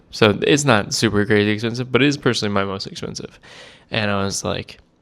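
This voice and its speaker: A man's mumbling at a fairly low pitch and a fairly quick pace. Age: 20s. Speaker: cigar vlogger. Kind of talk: casual vlog monologue. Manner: fast.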